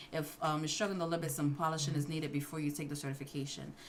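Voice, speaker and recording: A woman with a New York accent speaks at a very fast pace with very deep, low pitch and fairly even intonation, over noticeable background noise. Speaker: livestream host, IT certification study. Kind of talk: casual livestream Q&A.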